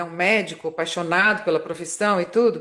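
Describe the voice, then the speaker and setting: This woman has a plain, everyday voice at medium pitch with ordinary pitch variation. She keeps a moderate pace against a quiet background. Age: 60s. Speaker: marketing consultant and motivational speaker. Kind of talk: podcast interview.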